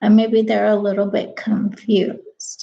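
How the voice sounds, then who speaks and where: Monotone, flat intonation at a very slow pace, somewhat breathy. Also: woman. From California, Mexican-American. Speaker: vlogger, live show host. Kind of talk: casual live-stream monologue. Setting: live stream to camera at home. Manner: casual, rambling with fillers.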